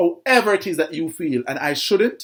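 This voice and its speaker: A man speaks loudly in a passionate tone with ordinary pitch variation. His pace is fairly quick. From Jamaica. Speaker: vlogger, show host. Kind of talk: opinion commentary vlog.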